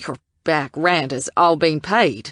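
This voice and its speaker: Putting on a character voice, a woman growls at a very deep, low pitch with lively intonation, recorded dry and close with no echo against a quiet background. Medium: read story. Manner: hesitant, stammering.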